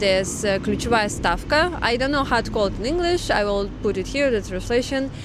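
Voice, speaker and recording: A woman with lively intonation, amid audible room echo and noticeable background noise. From Russian Far East, Vladivostok. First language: Russian. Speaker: vlogger. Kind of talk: explanatory vlog talk. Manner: halting, many fillers.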